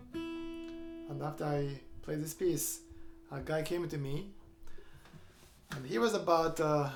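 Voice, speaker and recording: A man talks at a fairly slow pace with music in the background. There is audible room echo. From Japan, Kyoto. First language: Japanese. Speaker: guitarist and composer. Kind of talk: storytelling between songs in a showcase performance. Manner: halting, frequent uh fillers.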